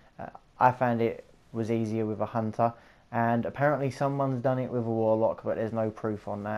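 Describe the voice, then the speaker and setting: A relaxed man in a South East London accent, medium-pitched and dark, mellow in tone, with monotone, flat intonation and a fairly quick pace. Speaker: gaming YouTuber. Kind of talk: gameplay tutorial commentary. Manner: casual, rambling; relaxed, chilled.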